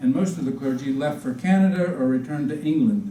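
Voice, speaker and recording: With a Southern US accent, a man speaks at a moderate pace in a high voice with lively intonation, and audible room echo surrounds him. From Virginia, US South. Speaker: Episcopal priest. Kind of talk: public history talk. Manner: informal, folksy.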